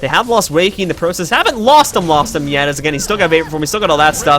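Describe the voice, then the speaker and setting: Noticeable background noise accompanies a man speaking very fast. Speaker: esports tournament caster and organizer. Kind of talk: live commentary. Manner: animated.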